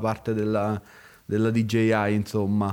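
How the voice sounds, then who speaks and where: A man speaks at a fairly slow pace. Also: very clean recording, silent background. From Italy. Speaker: photographer. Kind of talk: casual chat.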